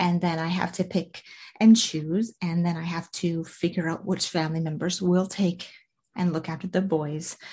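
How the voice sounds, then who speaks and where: A woman speaks at a moderate pace in a fairly low pitch, her tone dark and mellow. Her voice is somewhat breathy over a quiet background. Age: 40s. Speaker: podcast host and life coach. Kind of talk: motivational solo podcast talk. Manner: casual, conversational with fillers.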